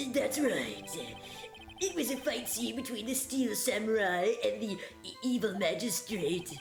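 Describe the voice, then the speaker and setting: Over clear background music, a woman puts on a character voice at a fairly high pitch and a fairly slow pace. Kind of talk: comic overacting. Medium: virtual streamer. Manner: rude, slangy, internet-speak.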